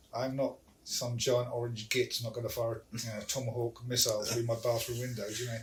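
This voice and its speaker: This man's medium-pitched voice is somewhat breathy, his intonation monotone and flat, and his pace fairly quick. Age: 60s. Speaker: podcast guest. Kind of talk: casual chat.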